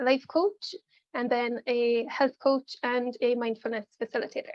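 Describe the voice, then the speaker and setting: Speaking in an Irish accent, a woman uses a high voice, fairly even intonation and a moderate pace. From Ireland. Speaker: life coach and mindfulness facilitator. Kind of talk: pre-recorded workshop presentation. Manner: casual, many filler ums.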